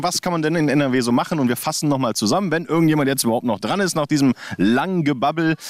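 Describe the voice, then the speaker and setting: Over noticeable background noise, a man speaks at a very fast pace with hardly any pauses, a fairly high pitch, lively intonation and very even loudness. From Thuringia, Germany. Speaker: podcast host. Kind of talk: casual interview. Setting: outdoors by a lake.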